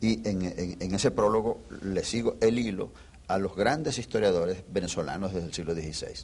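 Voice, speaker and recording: A man uses an ordinary speaking voice, fairly low in pitch, with lively intonation at a moderate pace. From Venezuela. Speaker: historian. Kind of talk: interview.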